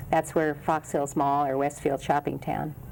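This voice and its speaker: This is a woman's voice. She speaks in an American accent. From Los Angeles area, California. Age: 60s. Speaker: city council member. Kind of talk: interview.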